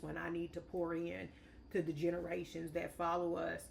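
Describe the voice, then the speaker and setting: Speaking at a fairly slow pace, a woman has an unremarkable speaking voice pitched fairly low. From St. Louis area, Missouri. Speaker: state legislator. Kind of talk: podcast discussion.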